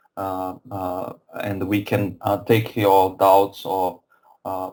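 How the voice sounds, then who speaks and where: Speaking at a very slow pace, a man with a Brazilian accent has a very deep, low pitch and a dark, mellow tone. His intonation is monotone and flat. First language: Portuguese. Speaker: software company representative. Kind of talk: webinar presentation. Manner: halting, many fillers and repetitions.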